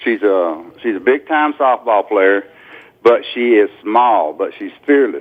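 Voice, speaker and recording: This is a man with an ordinary speaking voice. His pitch sits in the medium range, and his intonation is lively. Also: fairly slow pace. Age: 60s. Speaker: caller. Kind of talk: radio call-in question. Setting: phone call.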